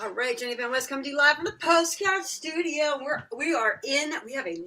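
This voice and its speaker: Fairly quick delivery over noticeable background noise. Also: woman. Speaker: live show host. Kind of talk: live web show hosting. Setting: studio. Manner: fast.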